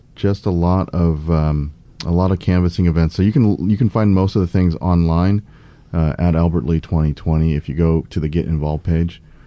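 Keeping very even loudness, a man with an American accent speaks at a very deep, low pitch in a dark, mellow tone. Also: fairly even intonation, moderate pace. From US Midwest, St. Louis. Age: 40s. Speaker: political candidate. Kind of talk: podcast interview. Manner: earnest, speechlike cadence.

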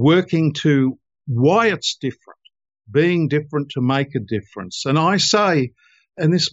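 In a plain, everyday voice, a man talks at a fairly slow pace, fairly high in pitch with ordinary pitch variation. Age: 60s. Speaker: lawyer and author. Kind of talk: interview.

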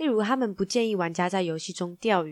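In a Taiwanese accent, a woman talks at a fairly quick pace with a medium pitch, ordinary pitch variation and a playful, animated tone. The sound is dry and close with no echo, in a very clean recording with a silent background. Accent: Taiwanese Mandarin. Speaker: tech news podcast host. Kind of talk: news roundup, casual.

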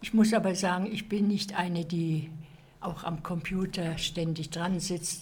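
A woman at a fairly low pitch and a fairly slow pace, fairly even in intonation, with audible room echo. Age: 80s+. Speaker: retiree, computer course participant. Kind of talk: interview.

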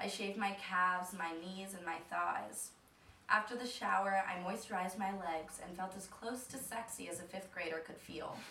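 A woman at medium pitch and moderate pace, fairly even in intonation with big swings in loudness, amid noticeable background noise. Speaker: storyteller. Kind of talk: personal comedic storytelling. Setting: stage with audience.

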